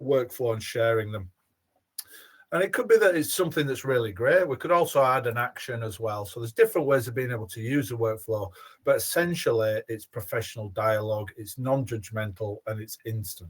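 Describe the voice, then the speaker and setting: Speaking at a fairly quick pace, a man with a Yorkshire accent has a medium pitch and ordinary pitch variation. His voice is somewhat breathy. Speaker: former head teacher, education software presenter. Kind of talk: webinar product demonstration. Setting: online webinar.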